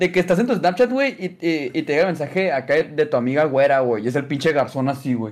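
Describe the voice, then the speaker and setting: A man is speaking here. His pitch is fairly high and his intonation is lively. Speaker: podcast co-host. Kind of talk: casual chat.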